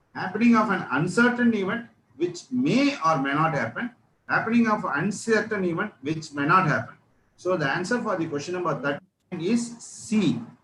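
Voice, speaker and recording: With music in the background, a man speaks in a high pitch with lively intonation. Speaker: lecturer. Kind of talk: lecture. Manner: slow.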